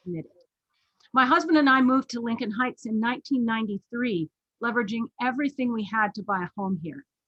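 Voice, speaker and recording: A woman with a Californian accent speaks at a very fast pace. Her pitch is fairly high, and her intonation is lively. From Los Angeles, California. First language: not English. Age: middle-aged. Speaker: professor and council candidate. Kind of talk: prepared candidate statement. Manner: formal.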